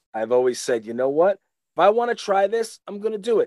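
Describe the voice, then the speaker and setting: A man with a New York accent talks at a fairly quick pace with very wide pitch swings, in a dry, close sound with no echo. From Long Island, New York. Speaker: retired pro wrestler. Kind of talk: casual chat. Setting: video call.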